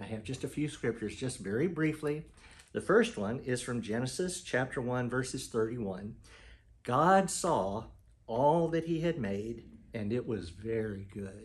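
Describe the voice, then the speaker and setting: A man speaks at a moderate pace in a medium-pitched, somewhat breathy voice. His intonation is lively. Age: 70s. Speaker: pastor. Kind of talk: testimony. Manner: halting.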